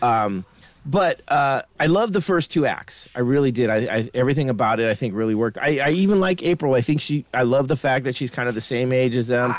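At a fairly quick pace with hardly any pauses, a man speaks at a medium pitch in an unremarkable speaking voice. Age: 50s. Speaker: podcast co-host, movie reviewer. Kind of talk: casual chat.

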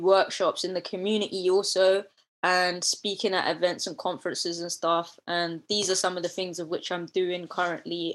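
The speaker has a south London accent and a flat, monotone delivery. The recording is very clean, with a silent background. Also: woman. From London, Deptford area. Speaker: nature content creator. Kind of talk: casual chat.

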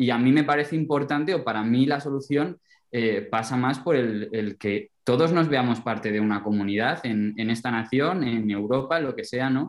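In a very clean recording with a silent background, a man with a normal speaking voice talks at a moderate pace and medium pitch, with ordinary pitch variation and hardly any pauses. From Alto Tajo, central Spain. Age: young. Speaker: rural development volunteer. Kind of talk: casual chat.

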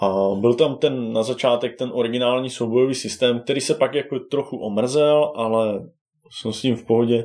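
A man speaks in a plain, everyday voice at a medium pitch. His intonation is fairly even and his pace moderate. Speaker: board game enthusiast. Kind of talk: casual chat.

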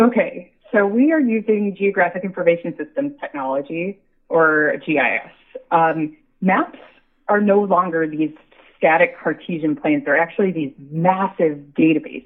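A woman has an ordinary speaking voice with an American accent, pitched at a medium level. Her intonation is lively and her pace moderate. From US, Buffalo, New York. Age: 30s. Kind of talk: interview.

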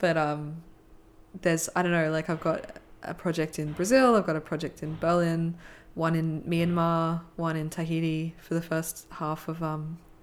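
The woman has an Australian accent and a fairly low pitch. She speaks at a fairly slow pace in a monotone, flat intonation, on a very clean recording with a silent background. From Australia, Brisbane. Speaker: filmmaker. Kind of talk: casual interview.

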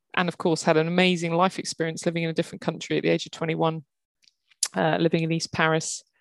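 A woman talks very fast in a southern English accent, her fairly low voice flat and monotone. The sound is dry and close with no echo, in a very clean recording with a silent background. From England, Kent. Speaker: HR executive. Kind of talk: interview conversation.

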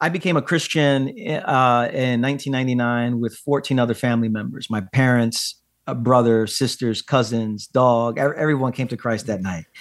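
A plain, everyday voice from a man, medium in pitch, with ordinary pitch variation, a moderate pace and hardly any pauses, on a very clean recording with a silent background. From Brooklyn, New York, of Puerto Rican descent. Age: 40s. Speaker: pastor and author. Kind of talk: podcast interview.

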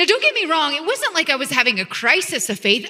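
A woman's raised, projected voice carries over noticeable background noise. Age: 40s. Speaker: pastor. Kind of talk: sermon.

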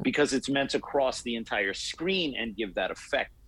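The recording is very clean with a silent background, carrying a normal speaking voice at a moderate pace. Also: man. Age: 40s. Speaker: martial arts instructor and podcaster. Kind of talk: casual interview.

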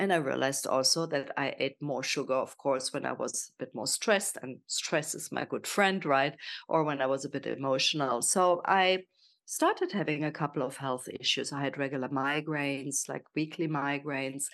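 In a German accent, a woman talks at a moderate pace with a very deep, low pitch and ordinary pitch variation against a quiet background. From Germany. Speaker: health and nutrition coach. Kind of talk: casual interview.

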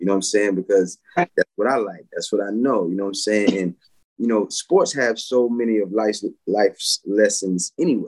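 This is an ordinary speaking voice with an American accent at a moderate pace. The sound is dry and close, with no echo. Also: man, fairly low pitch for a man, ordinary pitch variation. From US South, Pensacola, Florida. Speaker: former professional baseball player. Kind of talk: casual interview. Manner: filler-heavy, relaxed.

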